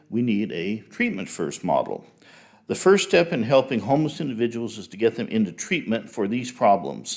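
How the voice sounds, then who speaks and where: A man at medium pitch and moderate pace, with vocal fry, very wide pitch swings and big swings in loudness. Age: 60s. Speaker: public commenter, retired chemical engineer. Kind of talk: prepared public comment at city council. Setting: city council meeting. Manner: formal.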